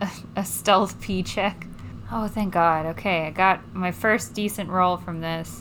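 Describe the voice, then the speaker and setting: A woman talks at a fairly slow pace in an unremarkable speaking voice. Her pitch is medium, with ordinary variation. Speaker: tabletop game player. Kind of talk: casual game banter.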